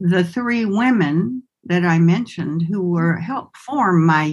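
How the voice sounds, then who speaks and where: Lively intonation with an American accent, somewhat breathy, at a very slow pace. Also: woman. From US South, Winston-Salem, North Carolina. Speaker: somatic movement and healing arts educator. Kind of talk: interview conversation.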